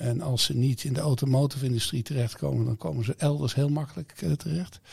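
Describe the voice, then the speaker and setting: This is a man speaking at a medium pitch. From Netherlands, Eindhoven region. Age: 50s. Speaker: campus managing director. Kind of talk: interview. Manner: halting.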